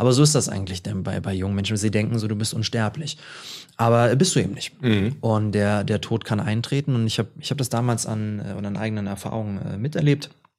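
This man talks at a very fast pace in a fairly low pitch. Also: ordinary pitch variation. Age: 20s. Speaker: author and speaker. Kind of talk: interview conversation.

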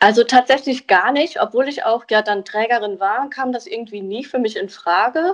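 Speaking at a moderate pace with hardly any pauses, a woman uses a high pitch and lively intonation. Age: 20s. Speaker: hearing aid acoustician. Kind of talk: interview. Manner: hesitant with fillers.

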